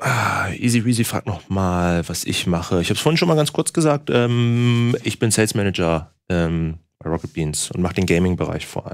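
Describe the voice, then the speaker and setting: A man with a fairly low pitch speaks at a moderate pace with lively intonation and hardly any pauses against a quiet background. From northern Germany (Bremen); Germany. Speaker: sales manager hosting a livestream. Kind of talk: casual chat with stream audience. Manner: chatty, many filler sounds. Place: studio.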